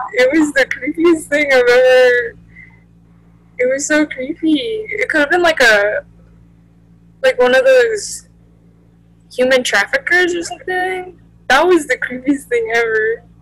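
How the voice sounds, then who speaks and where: A woman with a high pitch speaks at a fairly slow pace, with lively intonation and long, frequent pauses. The sound is dry, with no echo. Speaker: video creator. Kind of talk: casual vlog chat. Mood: amused, slightly spooked. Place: home room. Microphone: webcam.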